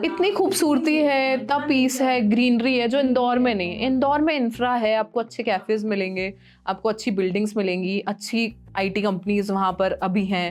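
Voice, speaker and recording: A woman's unremarkable speaking voice, fairly high in pitch, with lively intonation, very even loudness and hardly any pauses. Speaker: radio jockey. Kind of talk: podcast interview answer.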